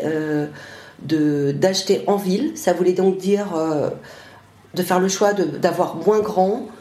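A woman talks at a very slow pace, with medium pitch and ordinary pitch variation. Noticeable background noise and audible room echo are present. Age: 50s. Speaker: interviewee, parent. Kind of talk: interview.

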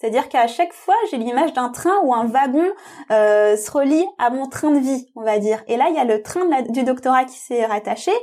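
Lively intonation rides on a dark, mellow tone in a very clean recording with a silent background. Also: woman, high pitch for a woman, moderate pace. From France, Tamil family. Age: 30s. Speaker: psychologist and doctoral student. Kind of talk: interview.

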